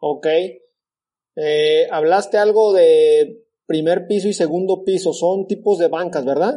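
A man's high voice with a dark, mellow tone, ordinary pitch variation and a very slow pace. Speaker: podcast host, agronomist. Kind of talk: interview.

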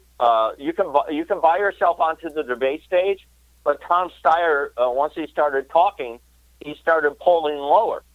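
A man talks with an American accent. His pitch is fairly high and varies in an ordinary way. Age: 60s. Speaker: presidential candidate and comedian. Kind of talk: radio interview. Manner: halting.

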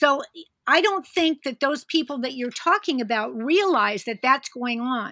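A woman with an American accent speaks in a raised, projected voice, high-pitched with a bright, sharp tone. She goes at a fairly slow pace with lively intonation, and the sound is dry and close with no echo. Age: 70s. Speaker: podcast listener invited as guest. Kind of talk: casual chat. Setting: remote call.

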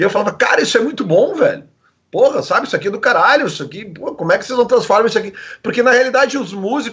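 Lively intonation and an extremely high pitch mark this man's speech, which moves at a very fast pace. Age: 40s. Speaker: radio presenter. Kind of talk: casual chat.

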